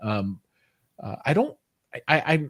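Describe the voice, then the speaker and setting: This man talks in an American accent. There is a somewhat breathy quality to his voice. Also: very clean recording, silent background. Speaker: tech show host. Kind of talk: live interview.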